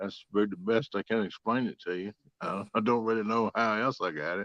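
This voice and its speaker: The speaker has a strong southern Virginia accent and fairly even intonation, in a dry, close sound with no echo. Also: man, fairly low pitch for a man, fairly quick pace. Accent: strong rural southern Virginia twang. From South Central Virginia. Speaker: catfishing angler. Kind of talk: casual chat.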